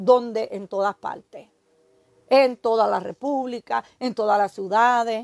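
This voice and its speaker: Someone with a Puerto Rican accent speaks at a fairly slow pace, with a quiet background and dry sound with no echo. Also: woman. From Puerto Rico, Aguada; Puerto Rico. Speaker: evangelist preacher. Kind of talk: sermon. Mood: earnest, admonishing. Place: home room. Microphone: phone near.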